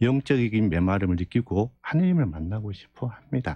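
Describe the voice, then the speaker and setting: Against a quiet background, a man with a fairly low pitch and a dark, mellow tone talks at a moderate pace with lively intonation. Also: dry sound with no echo. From rural South Korea. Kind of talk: radio interview. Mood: calm, earnest explanation. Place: studio. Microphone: studio mic.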